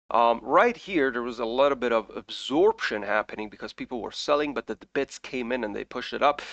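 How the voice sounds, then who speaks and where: A man with a non-native accent speaks at a medium pitch with lively intonation. The sound is dry and close, without echo. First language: not English. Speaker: crypto trading YouTuber. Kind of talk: market analysis commentary. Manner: casual, with frequent fillers.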